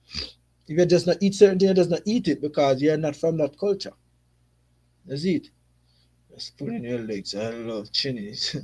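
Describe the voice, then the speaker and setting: A man with a Jamaican accent and a dark, mellow tone speaks at a moderate pace with long, frequent pauses, very wide pitch swings and big swings in loudness, on a very clean recording with a silent background. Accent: Jamaican, unchanged. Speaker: football YouTuber. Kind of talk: live stream reaction chat. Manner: casual, conversational.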